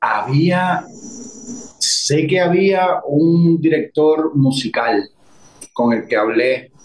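A man speaks with a Puerto Rican accent. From Puerto Rico, Guayanilla. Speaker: actor and director. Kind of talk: interview.

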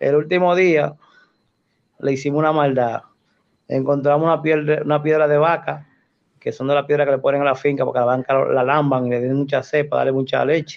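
A man with a fairly high voice speaks at a fairly quick pace in a flat monotone, his loudness very even, with long, frequent pauses. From Dominican Republic, Cotuí and Santo Domingo. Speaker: Red Cross rescue volunteer. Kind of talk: interview, personal life story.

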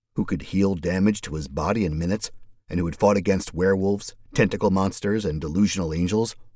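Ordinary pitch variation runs through the delivery. It is plain reading aloud.

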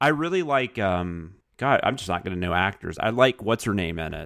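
A man with a normal speaking voice, fairly low in pitch, talks at a fairly quick pace. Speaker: podcast co-host and writer. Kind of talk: casual chat.

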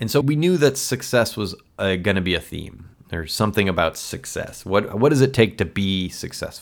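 An unremarkable speaking voice from a man, fairly low in pitch, with lively intonation, a moderate pace and hardly any pauses, on a very clean recording with a silent background. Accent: American. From Elmhurst, Illinois, US Midwest. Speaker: podcast host and documentary filmmaker. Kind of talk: casual interview chat.

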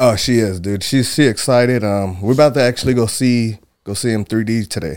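At a fairly quick pace, a man speaks in a normal speaking voice with a medium pitch and ordinary pitch variation. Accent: American. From Michigan. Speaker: mixed martial arts fighter. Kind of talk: casual chat.

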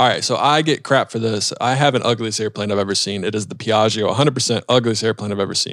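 An ordinary speaking voice at a fairly quick pace, with fairly even intonation and hardly any pauses. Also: man, medium pitch for a man. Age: 30s. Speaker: aviation podcast host. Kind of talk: casual interview.

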